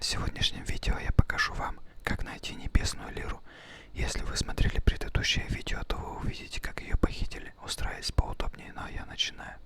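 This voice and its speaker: A man whispers at a fairly quick pace, with big swings in loudness. Noticeable background noise is present. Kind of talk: whispered ASMR gameplay commentary. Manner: whispered.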